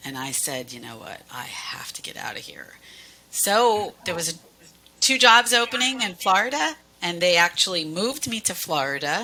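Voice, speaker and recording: In a US Northeastern accent, a woman speaks at a moderate pace in a medium-pitched voice. Her pitch swings very widely and her loudness shifts a lot, over noticeable background noise. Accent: US Northeast. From Pennsylvania, US Northeast. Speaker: cruise line sales manager. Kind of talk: casual interview.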